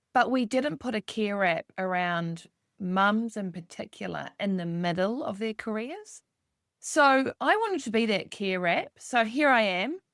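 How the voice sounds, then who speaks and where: In a very clean recording with a silent background and a dry, close sound with no echo, a woman with a New Zealand accent speaks at a fairly slow pace and fairly high pitch with lively intonation. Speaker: executive coach. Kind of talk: podcast interview.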